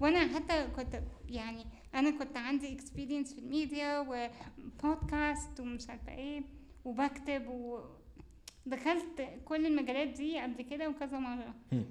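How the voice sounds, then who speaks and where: A woman speaks at a fairly slow pace in a high pitch with monotone, flat intonation, amid noticeable background noise and audible room echo. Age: young. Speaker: university student and show host. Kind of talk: casual interview chat.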